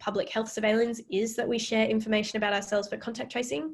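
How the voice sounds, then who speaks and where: In an Australian accent, a woman speaks with fairly even intonation. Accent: Australian, mistaken for UK. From Western Australia. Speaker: AI ethics researcher and lecturer. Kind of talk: Q&A after public lecture. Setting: virtual public lecture.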